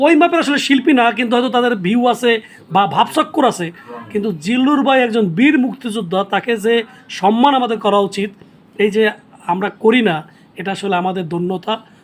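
Noticeable background noise sits under this recording. His voice is extremely high for a man, with ordinary pitch variation. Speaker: video host, actor. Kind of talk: casual interview.

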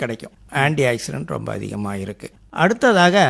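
Over a very clean recording with a silent background, a man's voice moves in very wide pitch swings. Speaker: retired headmaster turned organic farmer. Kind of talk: radio interview. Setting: radio studio.

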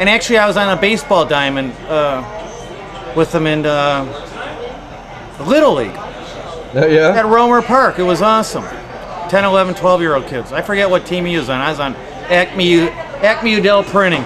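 In a Chicago accent, a man speaks at a fairly slow pace in a high voice with lively intonation, against noticeable background noise. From Chicago area, US. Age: 40s. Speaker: bartender. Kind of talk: street interview. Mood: relaxed, reminiscing. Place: bar. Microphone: phone near.

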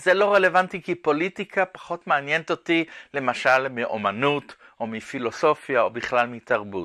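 With lively intonation and a bright, sharp tone, a man at a fairly high pitch speaks at a moderate pace over a quiet background. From Israel. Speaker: art professor and artist. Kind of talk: interview monologue. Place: studio.

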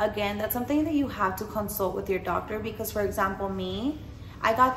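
A woman talks at a fairly quick pace. Light background noise and audible room echo are present. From Mexican-American, US. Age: 20s. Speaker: vlogger and post-op massage business owner; vlogger. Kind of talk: casual Q&A vlog. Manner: animated. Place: home room.

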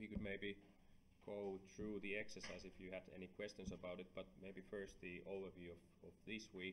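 In an ordinary speaking voice, a man talks at a fairly low pitch and moderate pace over light background noise. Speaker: university lecturer. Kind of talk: lecture.

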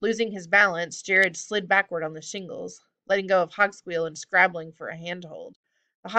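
Behind the voice, the background stays quiet. What we hear is plain reading aloud.

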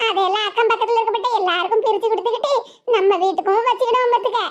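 A woman does a cartoonish character voice at an extremely high pitch and a very fast pace, her loudness very even and her intonation fairly even. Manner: affectionate, calls others 'makka'.

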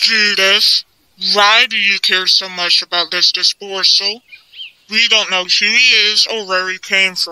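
A cartoonish character voice at a fairly high pitch speaks at a fairly slow pace. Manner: calm, authoritative.

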